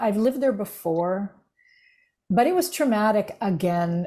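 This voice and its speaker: Speaking in an American accent, a woman has a medium pitch, ordinary pitch variation and a somewhat breathy, dark, mellow tone. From United States. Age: 60s. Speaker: grief recovery specialist and former minister. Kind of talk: podcast interview.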